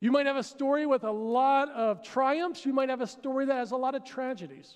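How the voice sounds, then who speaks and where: An American-accented man talks at a moderate pace with an extremely high pitch, against a quiet background. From Pennsylvania, US. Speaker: pastor. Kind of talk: sermon. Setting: church with congregation. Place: stage. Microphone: headset.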